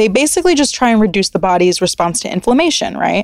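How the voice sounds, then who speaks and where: A woman speaks at a fairly high pitch with very wide pitch swings. Her voice sounds dry and close, with no echo. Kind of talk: casual interview chat. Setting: studio.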